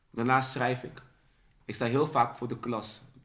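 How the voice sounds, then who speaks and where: A man talks at a moderate pace. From Netherlands, raised in Dordrecht, born in Suriname. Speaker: spoken word poet. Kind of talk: casual interview. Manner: halting, repeats words.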